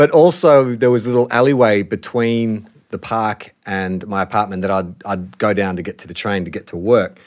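In an Australian accent, a man speaks at a fairly low pitch and moderate pace with ordinary pitch variation, big swings in loudness, and hardly any pauses, in a very clean recording with a silent background. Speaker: actor and podcaster. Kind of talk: casual chat. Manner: relaxed, chatty.

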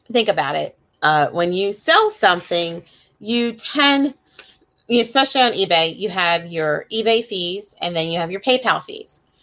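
A woman's normal speaking voice in an American accent, medium in pitch, with lively intonation at a moderate pace. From Pennsylvania, near Philadelphia. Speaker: online reseller and podcast host. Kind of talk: solo podcast monologue. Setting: livestream video recording. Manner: casual, chatty with filler words.

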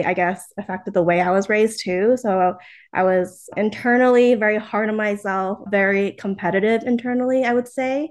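A fairly high-pitched woman at a moderate pace with fairly even intonation, against a quiet background. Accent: American. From US Northeast, New Jersey. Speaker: entrepreneur. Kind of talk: interview.

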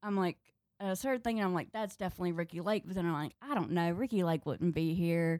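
Recorded very cleanly against a silent background, a woman speaks at a very fast pace in a dry, close sound with no echo. Her loudness stays very even, and her pitch variation is ordinary. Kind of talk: casual chat.

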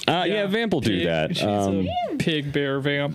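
There is noticeable background noise as a man speaks. His pace is fairly quick and his pitch swings very widely. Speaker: podcast co-host. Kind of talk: casual chat. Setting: studio.

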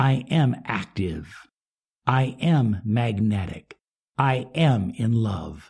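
A man speaks very slowly at a medium pitch, his voice somewhat breathy and his intonation lively. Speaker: self-help coach. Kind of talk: motivational talk.

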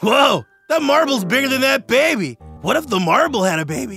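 Faint music sits in the background as a man talks at a fairly quick pace. He uses a put-on character voice with an extremely high pitch. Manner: relaxed, laid-back.

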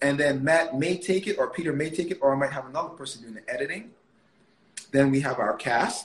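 This is a man with a somewhat breathy voice. His pitch varies in an ordinary way. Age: 30s. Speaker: media producer and entrepreneur. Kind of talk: casual interview.

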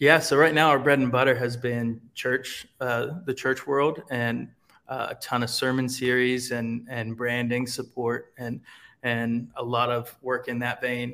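Speaking at a fairly slow pace, a man with an American accent has a bright, sharp tone and monotone, flat intonation. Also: medium pitch for a man. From Ohio, US Midwest. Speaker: creative agency founder. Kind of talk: casual chat.

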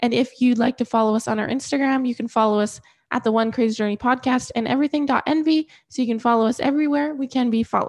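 A woman speaks fast in a fairly high pitch with fairly even intonation. Her tone is slightly mellow.

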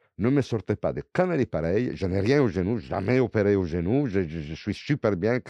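A man with an Italian accent speaks in a dark, mellow tone at a fairly low pitch, with lively intonation at a moderate pace. The sound is dry and close with no echo, over a quiet background. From Italy. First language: Italian (speaking French). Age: 60s. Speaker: former legionnaire. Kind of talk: interview testimony. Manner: halting with repetitions.

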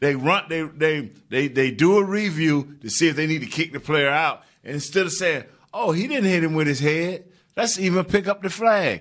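Speaking with an American accent, a man with a fairly high pitch keeps a moderate pace and ordinary pitch variation. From Florida. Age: 50s. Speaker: former football player and show co-host. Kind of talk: casual sports talk. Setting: studio. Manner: animated.

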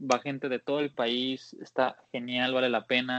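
This is a man speaking. He keeps a moderate pace. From Mexico, Jalisco (Guadalajara). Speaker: off-road Jeep enthusiast. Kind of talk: casual interview. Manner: hesitant, many fillers.

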